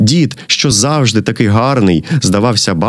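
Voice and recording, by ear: A natural read-aloud voice full of lively intonation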